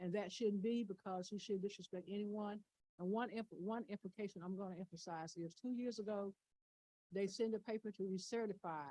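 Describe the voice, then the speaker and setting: A woman's medium-pitched voice with a dark, mellow tone, fairly even intonation, and a fairly quick pace. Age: 70s. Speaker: public hearing witness. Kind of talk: testimony.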